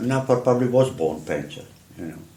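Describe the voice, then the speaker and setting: A man with a strong Czech accent speaks at a moderate pace with lively intonation. Noticeable background noise and audible room echo are present. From Czech Republic, Prague. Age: 70s. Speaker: artist. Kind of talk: interview storytelling.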